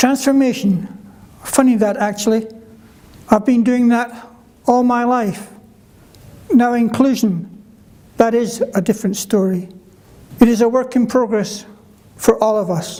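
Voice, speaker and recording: Speaking in a Scottish accent at a fairly slow pace, the voice keeps a fairly even intonation and takes long, frequent pauses. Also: man, extremely high pitch for a man. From Scotland (Kirkcaldy, Fife). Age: 70s. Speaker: conference speaker living with a neurological condition. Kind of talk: prepared speech. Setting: conference stage with audience.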